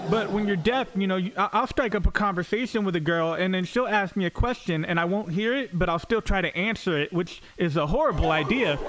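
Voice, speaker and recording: Amid noticeable background noise, a man with an American accent and a high pitch talks at a fairly quick pace with hardly any pauses and ordinary pitch variation. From Florida, US. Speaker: stand-up comedian. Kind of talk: stand-up. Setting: stage with audience.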